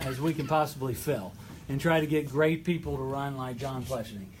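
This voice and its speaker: Amid noticeable background noise and audible room echo, a man with a southeastern Ohio accent speaks at a fairly quick pace with ordinary pitch variation. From southeastern Ohio, Gallipolis. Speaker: state legislator. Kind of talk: political speech. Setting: hall with audience.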